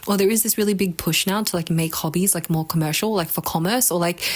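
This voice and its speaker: A woman with a fairly low voice talks very fast with ordinary pitch variation amid noticeable background noise. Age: 20s. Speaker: video blogger. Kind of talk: casual monologue. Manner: casual, filler-heavy; halting.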